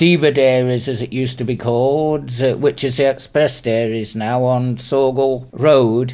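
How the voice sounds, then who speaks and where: A man's dark, mellow voice at medium pitch, fairly even in intonation and fairly slow in pace. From northwestern England, Chester. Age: 60s. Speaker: retired handyman and former mobile DJ. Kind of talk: interview. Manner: halting, with frequent fillers.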